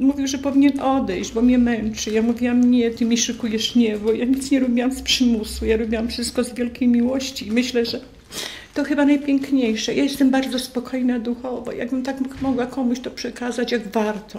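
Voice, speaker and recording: Speaking fairly quickly, a woman uses a high pitch and a monotone, flat intonation. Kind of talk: interview answer. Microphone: studio mic.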